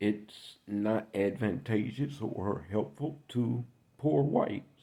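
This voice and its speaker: A man's dark, mellow tone with vocal fry and lively intonation, in an American accent. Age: 60s. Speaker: political commentator. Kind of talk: political monologue.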